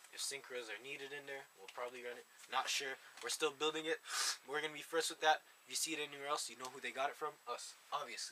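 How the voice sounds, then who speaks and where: A man's very fast, monotone, flat delivery at a fairly high pitch, over noticeable background noise. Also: big swings in loudness. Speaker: card game video host. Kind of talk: casual chat.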